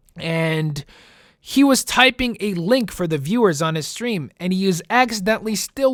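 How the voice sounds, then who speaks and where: Speaking at a moderate pace with a slight Italian accent, a man with a high pitch uses an animated tone and lively intonation. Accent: slight Italian-tinged accent, rolls his R's. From US Midwest, Chicago. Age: 20s. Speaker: gaming YouTuber. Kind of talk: casual Q&A monologue.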